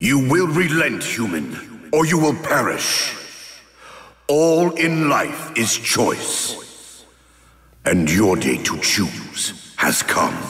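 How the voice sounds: A man does a put-on character voice at a medium pitch with a fairly bright tone. He speaks at a very slow pace with very wide pitch swings.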